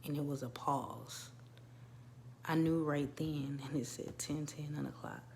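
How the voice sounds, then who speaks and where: A woman's very deep, low voice, flat and monotone, at a fairly slow pace with long, frequent pauses and audible room echo. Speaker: birth doula and wellness coach vlogger. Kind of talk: casual personal vlog monologue. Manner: conversational with frequent fillers.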